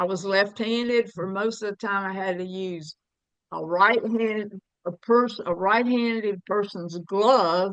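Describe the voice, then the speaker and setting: Recorded dry and close with no echo, a woman with a Southern US accent speaks fairly slowly at a medium pitch, her loudness swinging widely. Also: fairly even intonation. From US South, Alabama. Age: 70s. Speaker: jail ministry volunteer. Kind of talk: casual chat.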